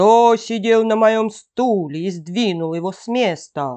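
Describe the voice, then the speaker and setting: In a put-on character voice, the speaker talks loudly and fairly slowly at a fairly high pitch against a quiet background. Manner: threatening, loud.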